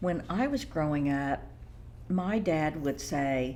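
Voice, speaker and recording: Her voice has audible room echo around it. The woman's intonation is lively. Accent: American. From Oklahoma. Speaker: etiquette consultant and banker. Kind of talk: interview.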